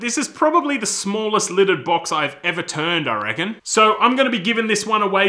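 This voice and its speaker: A man's raised, projected voice at a fairly quick pace, set against a quiet background. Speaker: woodworking channel host. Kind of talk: casual vlog chat. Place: workshop.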